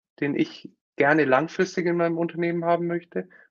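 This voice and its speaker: Fairly high-pitched male voice at a moderate pace. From Germany, Nuremberg (Franconia). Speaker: company founder and consultant. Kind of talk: interview on a live stream.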